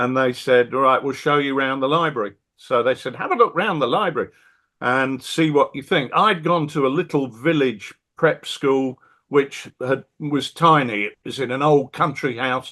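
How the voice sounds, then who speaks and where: With a British accent, the speaker keeps a moderate pace and ordinary pitch variation. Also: man, fairly high pitch for a man. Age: 60s. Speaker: wargame designer and publisher. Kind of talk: casual interview chat.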